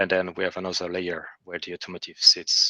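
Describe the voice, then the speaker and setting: At a fairly quick pace, a man speaks with a non-native accent in a dry, close sound with no echo. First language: not English. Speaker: software engineer presenting to a working group. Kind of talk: technical presentation in an online meeting. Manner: hesitant, many fillers and restarts.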